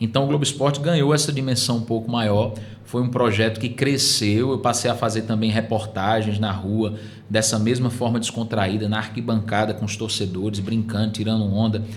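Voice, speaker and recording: Speaking with a northeastern Brazilian accent, a man keeps a medium pitch and very even loudness amid noticeable background noise and audible room echo. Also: moderate pace. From Northeast Brazil, Paraíba (Surubim). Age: 30s. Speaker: sports TV presenter. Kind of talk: podcast interview. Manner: animated.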